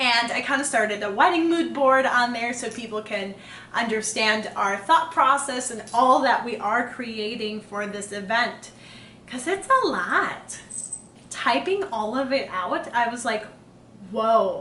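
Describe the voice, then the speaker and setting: Noticeable background noise and audible room echo surround a woman who speaks at a fairly slow pace with a fairly high pitch and lively intonation. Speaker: engaged couple podcast host. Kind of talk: casual chat.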